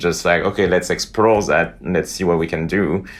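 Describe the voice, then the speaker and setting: A man speaks with a French accent. His intonation is fairly even. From northern France. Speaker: veterinary imaging professor. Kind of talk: podcast interview.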